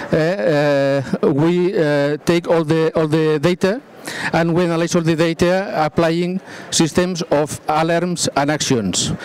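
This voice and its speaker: A man's high-pitched voice, with fairly even intonation, comes through dry with no echo. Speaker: presenter. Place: stage.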